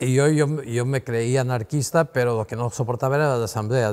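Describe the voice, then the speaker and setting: A man keeps a moderate speed, his intonation fairly even throughout. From Mallorca. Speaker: painter; interviewee. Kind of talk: interview answer. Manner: rambling, hesitant. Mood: relaxed, reminiscing. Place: workshop. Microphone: lapel.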